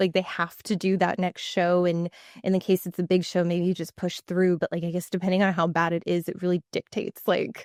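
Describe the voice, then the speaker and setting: A fairly low female voice in a monotone, flat intonation, fairly quick in pace, on a very clean recording with a silent background. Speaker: podcast host and competitor. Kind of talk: casual podcast chat. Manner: fast, filler-heavy.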